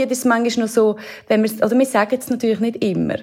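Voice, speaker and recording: Over noticeable background noise, a woman with a Swiss accent speaks at a fairly quick pace with fairly even intonation. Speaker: radio presenter. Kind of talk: casual interview.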